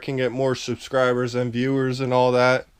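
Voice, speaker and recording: Here a man talks at a moderate pace and medium pitch, an ordinary speaking voice. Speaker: storage auction buyer vlogger. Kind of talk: casual vlog walkthrough. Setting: at home, walking around garage.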